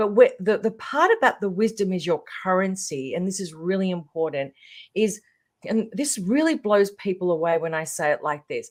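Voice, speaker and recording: A woman with an Australian accent speaks at a moderate pace in a medium pitch, her intonation lively, on a very clean recording with a silent background. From Australia, Melbourne. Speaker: transformational leader. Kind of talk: podcast interview.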